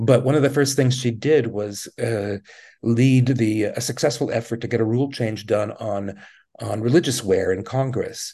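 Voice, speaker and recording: A man speaks at a moderate pace with a medium pitch and a dark, mellow tone, somewhat breathy. His intonation stays fairly even against a quiet background. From Quebec, Montreal. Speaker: journalist. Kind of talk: interview. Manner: halting, many fillers.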